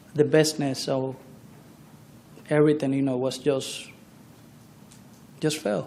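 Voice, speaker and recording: A man's fairly slow, monotone delivery with flat intonation and audible room echo. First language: not English. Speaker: trial witness, barber. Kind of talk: courtroom testimony. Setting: courtroom. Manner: halting.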